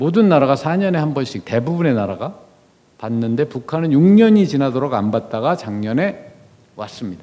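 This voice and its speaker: A man talks in a dark, mellow tone at fairly high pitch. His pitch swings very widely. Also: moderate pace. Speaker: former diplomat, guest lecturer. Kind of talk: lecture. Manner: conversational.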